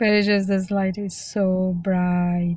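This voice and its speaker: A somewhat breathy woman's voice at medium pitch, monotone and flat, at a very slow pace. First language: Spanish. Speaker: vlogger practicing speaking. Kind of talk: casual vlog monologue. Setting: self-recorded on camera. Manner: halting, with fillers and restarts.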